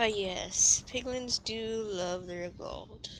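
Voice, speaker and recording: A female-sounding, put-on character voice, fairly high in pitch, speaks at a very slow pace against clear background noise. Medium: machinima. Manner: calm, terse.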